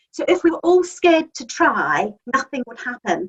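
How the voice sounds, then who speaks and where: A woman speaks with a New Zealand accent at a moderate pace. Her pitch swings very widely. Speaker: magazine editor and publisher. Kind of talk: interview answer.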